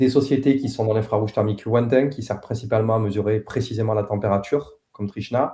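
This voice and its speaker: A man with a Toulouse accent talks at a fairly quick pace in a dark, mellow, somewhat breathy voice. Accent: southern French (Toulouse). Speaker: head of a satellite company's team, presenter. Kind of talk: technical presentation. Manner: hesitant, many filler sounds.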